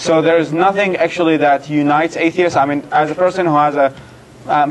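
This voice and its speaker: The delivery is monotone and flat, set against noticeable background noise. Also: man. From Iraq. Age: 20s. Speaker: secular activist and writer. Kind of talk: Q&A talk. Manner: halting, many restarts.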